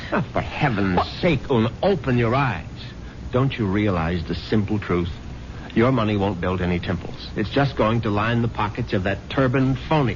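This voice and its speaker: A man speaks at a moderate pace with fairly low pitch and lively intonation. Noticeable background noise runs underneath. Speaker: husband character in a radio drama. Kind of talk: old-time radio drama dialogue.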